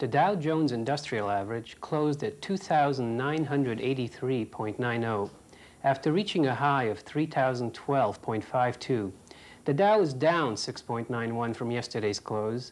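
A man at a moderate pace with lively intonation. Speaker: business correspondent. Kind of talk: TV business news report. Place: studio.

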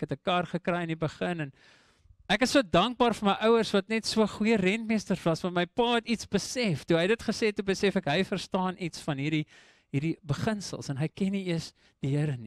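With an English accent, a man speaks in a high voice and lively intonation, the sound dry with no echo against a quiet background. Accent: English-speaker's accent in Afrikaans. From South Africa, Eastern Cape Karoo (Graaff-Reinet); Eastern Cape, South Africa. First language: English (speaking Afrikaans). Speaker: preacher. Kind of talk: sermon. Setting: church. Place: church. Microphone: handheld.

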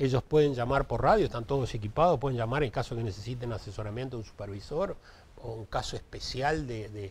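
A man talks at a very fast pace, somewhat breathy, with ordinary pitch variation. His loudness swings widely. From Uruguay. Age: 60s. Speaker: municipal traffic director; interviewee. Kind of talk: TV interview. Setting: TV studio. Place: studio. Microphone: lapel.

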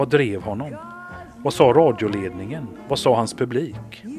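With music in the background, a man speaks at a moderate pace with medium pitch and ordinary pitch variation. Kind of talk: documentary narration in a promo for a radio profile.

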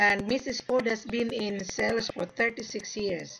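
A woman speaks at a fairly slow pace, her medium-pitched voice fairly bright in tone with a slightly husky edge and some vocal fry. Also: ordinary pitch variation.

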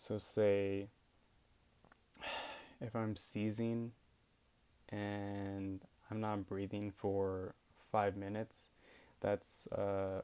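The tone is dark and mellow. The intonation stays monotone and flat. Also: man. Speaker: epilepsy patient sharing experience. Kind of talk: casual talk to camera. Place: home room. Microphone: earbuds.

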